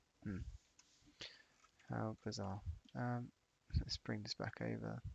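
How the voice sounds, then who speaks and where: A quiet man speaking at a very slow pace. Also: dry, close sound with no echo. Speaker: 3D modeling streamer. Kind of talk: live tutorial stream narration. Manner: casual, hesitant.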